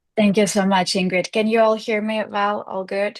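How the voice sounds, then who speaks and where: A woman with monotone, flat intonation, against a quiet background. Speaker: UN programme manager. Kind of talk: webinar presentation. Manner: hesitant.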